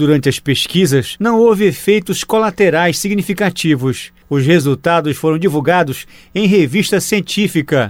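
In a very clean recording with a silent background, a man speaks at a moderate pace with hardly any pauses. His voice is high in pitch, very even in loudness, and lively in intonation. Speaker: radio reporter. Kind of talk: news reporting.

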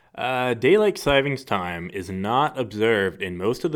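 A normal speaking voice from a man, fairly low in pitch, with lively intonation at a moderate pace. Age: 20s. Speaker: podcast co-host. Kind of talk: casual chat; reading aloud.

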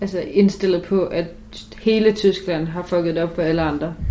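A woman talks in a monotone, flat intonation at a fairly low pitch and moderate pace, with noticeable background noise. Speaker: student podcast co-host. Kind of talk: casual chat.

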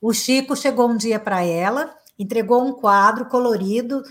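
Here is a woman with an unremarkable speaking voice and a fairly high pitch, talking at a fairly slow pace. The recording is very clean, with a silent background. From Brazil, Minas Gerais (Uberaba). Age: 50s. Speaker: psychotherapist and motivational speaker. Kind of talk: interview conversation.

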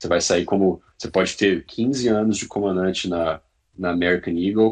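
Speaking with fairly even intonation, a man has a very deep, low voice. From Brazil, Brasília region. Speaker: airline pilot. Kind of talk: interview.

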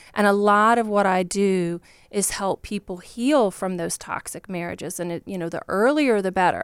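A woman with a Southern US accent, medium pitch and ordinary pitch variation at a moderate pace, in a dry, close sound with no echo on a very clean recording with a silent background. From Virginia, US. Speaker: divorce coach.

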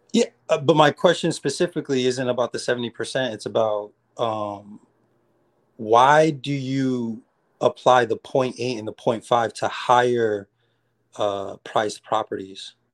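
Recorded with a dry, close sound with no echo and a quiet background, a man with a medium pitch speaks in a normal speaking voice at a fairly slow pace with ordinary pitch variation. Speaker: beginner real estate wholesaler calling in. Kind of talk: casual call-in Q&A. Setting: video call.

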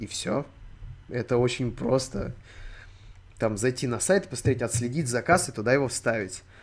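A man talks at a moderate pace, captured in a very clean recording against a silent background. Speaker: streamer. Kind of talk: live stream chat. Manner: animated.

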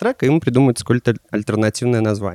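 A dark, mellow tone with a dry, close sound and no echo, on a very clean recording with a silent background. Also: man. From Russia, Pskov. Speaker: soul DJ and record collector. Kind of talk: casual chat.

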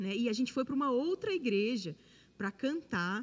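A woman talks in a somewhat breathy voice with lively intonation. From Brasília, Brazil. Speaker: worship singer. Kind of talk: testimony.

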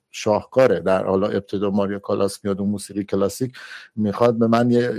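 A man's dark, mellow tone on a very clean recording over a silent background. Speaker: film critic panelist. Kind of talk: film analysis discussion. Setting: Clubhouse audio room.

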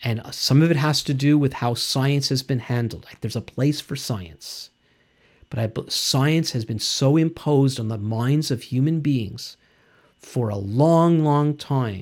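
A man with a Canadian accent has a plain, everyday voice, with fairly high pitch and ordinary pitch variation. He speaks at a fairly slow pace in a very clean recording with a silent background. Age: 60s. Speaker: Bible teacher. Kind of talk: teaching talk.

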